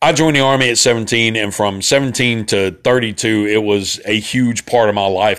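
A man speaks in a fairly low pitch with ordinary pitch variation. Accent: Central Alabama. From Alabama. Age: 40s. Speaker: podcast host, Army veteran. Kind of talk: casual solo podcast monologue. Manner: casual, rambling, profane.

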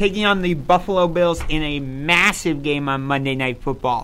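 With a bright, sharp tone and ordinary pitch variation, a man speaks at a fairly slow pace. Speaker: sports talk show host. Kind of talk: casual sports debate. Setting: studio.

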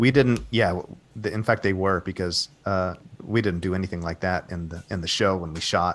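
Speech comes at a moderate pace. Its intonation remains fairly even. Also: man, very deep, low pitch for a man. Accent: American. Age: 40s. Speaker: actor. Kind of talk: interview.

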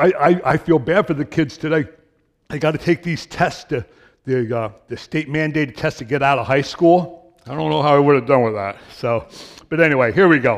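This man's voice sits fairly high. His pitch rises and falls in an ordinary way. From New York / New Jersey area. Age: 60s. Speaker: lay preacher, retired truck driver. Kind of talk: sermon. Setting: church. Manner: fast; halting.

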